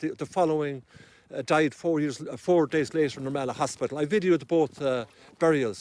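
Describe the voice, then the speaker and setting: In an Irish accent, a man talks at a fairly quick pace and a fairly high pitch, with a dry, close sound and no echo. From Ireland. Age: 60s. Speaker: activist. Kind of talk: interview. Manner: halting.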